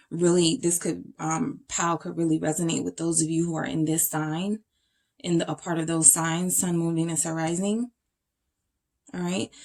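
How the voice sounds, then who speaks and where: A woman talks in a plain, everyday voice with a fairly low pitch. Her pace is moderate and her pitch variation ordinary. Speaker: tarot reader. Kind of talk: tarot reading to camera.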